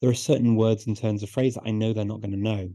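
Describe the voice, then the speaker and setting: Medium-pitched male speech, dark and mellow in tone. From northern England, Liverpool. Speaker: polyglot, language expert. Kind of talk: interview. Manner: repeats words often.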